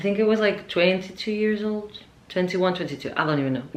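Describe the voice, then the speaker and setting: A woman's medium-pitched voice rings with audible room echo. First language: Spanish. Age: 20s. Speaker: vlogger. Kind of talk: casual vlog monologue.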